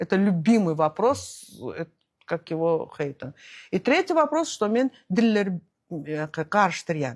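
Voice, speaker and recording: On a very clean recording with a silent background and a dry, close sound with no echo, a woman speaks very slowly at a medium pitch, with very wide pitch swings and long, frequent pauses. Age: 60s. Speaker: entrepreneur and traveller. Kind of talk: interview. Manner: hesitant, many fillers.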